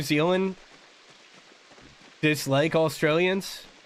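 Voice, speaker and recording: A man's high-pitched voice, very slow pace and fairly even intonation. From New Jersey. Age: 30s. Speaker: gaming streamer, military veteran. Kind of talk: casual chat.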